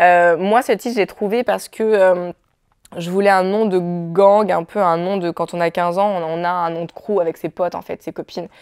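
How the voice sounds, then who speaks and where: Against a quiet background, a woman speaks at medium pitch and a moderate pace with fairly even intonation. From France. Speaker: film director. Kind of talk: interview. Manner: halting. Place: studio. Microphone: lapel.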